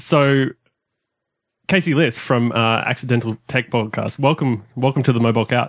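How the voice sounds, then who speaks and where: A man's medium-pitched voice with an Australian accent, a moderate pace and ordinary pitch variation, on a very clean recording with a silent background. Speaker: podcast host. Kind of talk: casual interview.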